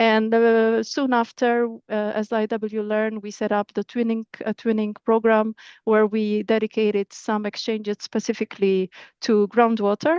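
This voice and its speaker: Monotone, flat intonation from a woman at a fairly high pitch and moderate pace. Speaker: project coordinator presenting at a webinar. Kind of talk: webinar presentation. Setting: online webinar. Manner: halting, many repetitions and fillers.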